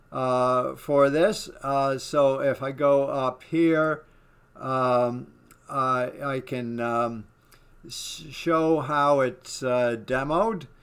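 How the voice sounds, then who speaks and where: At a very slow pace, a man speaks in a fairly high voice with fairly even intonation. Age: 60s. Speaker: web developer and online course student. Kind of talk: software demo walkthrough. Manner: halting, many fillers.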